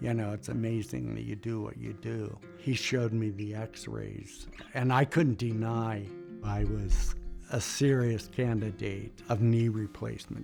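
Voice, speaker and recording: Music plays in the background while a man talks at a fairly slow pace. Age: 70s. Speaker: sled dog musher. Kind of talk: patient testimonial interview answer.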